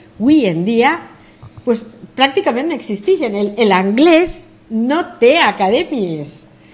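A woman speaks at a very slow pace with long, frequent pauses. Her high voice swings very widely in pitch. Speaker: English professor and philologist. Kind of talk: TV interview. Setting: TV studio.

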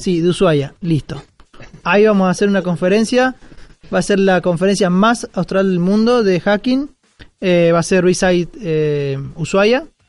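This man has a high-pitched voice and talks at a fairly slow pace. His pitch moves in an ordinary way, and his loudness stays very even. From Argentina, Córdoba. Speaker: security community organizer. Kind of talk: interview conversation. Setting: live recording at a security conference.

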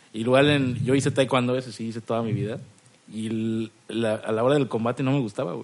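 A man with a normal speaking voice of medium pitch talks at a moderate pace with fairly even intonation. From Cancún, Mexico. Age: 20s. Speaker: stand-up comedian. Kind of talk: casual chat.

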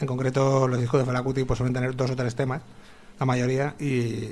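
Fairly quick speech from a man at a medium pitch, noticeable noise in the background. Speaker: radio host. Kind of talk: casual chat. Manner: hesitant. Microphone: a bit far from the microphone.

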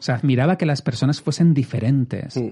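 Medium-pitched male voice, dark and mellow in tone, somewhat breathy, with ordinary pitch variation. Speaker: podcast host. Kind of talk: casual chat.

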